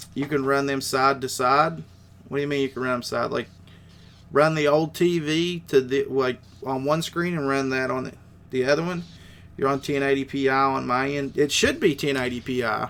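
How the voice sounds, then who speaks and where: With an Appalachian accent, a man with a fairly high pitch speaks at a moderate pace with fairly even intonation. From West Virginia. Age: 30s. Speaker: gaming streamer. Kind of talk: live stream chat. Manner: casual.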